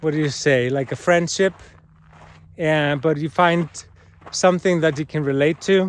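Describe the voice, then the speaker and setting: The speech comes slowly, at a fairly unhurried pace. It carries a non-native accent. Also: man. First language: not English. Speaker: cancer patient vlogger and healing arts teacher. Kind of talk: personal vlog monologue. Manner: halting, many fillers and repetitions.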